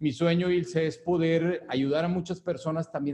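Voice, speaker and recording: A man's fairly high-pitched voice, dark and mellow in tone, at a moderate pace. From Mexico, Monterrey. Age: 40s. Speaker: wellness business owner, former engineer. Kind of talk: interview. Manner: halting, many fillers.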